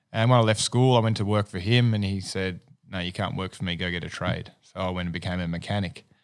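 Very fast speech from a man with an Australian accent, very deep and low in pitch with ordinary pitch variation, on a very clean recording with a silent background. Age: 40s. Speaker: business owner. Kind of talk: casual chat.

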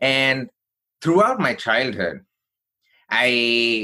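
On a very clean recording with a silent background, a man speaks at medium pitch in a bright, sharp tone. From India (Chennai). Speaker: keynote speaker and career coach. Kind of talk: personal story interview.

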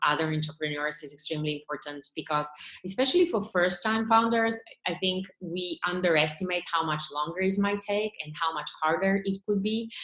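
With a Bulgarian accent, a woman speaks at a fairly low pitch with ordinary pitch variation. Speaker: tech startup founder and CEO. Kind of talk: interview.

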